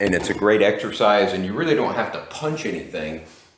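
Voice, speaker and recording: In a room with audible echo, a man speaks at a moderate pace with a fairly low pitch and ordinary pitch variation. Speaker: boxing instructor. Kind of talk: tutorial. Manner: casual.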